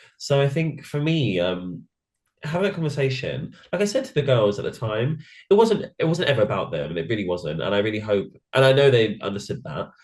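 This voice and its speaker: This man has a British accent and a medium pitch, and his voice is somewhat breathy. He talks at a fairly quick pace with very wide pitch swings. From England. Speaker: drag queen, reality show contestant. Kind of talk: interview. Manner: mumbling; fast.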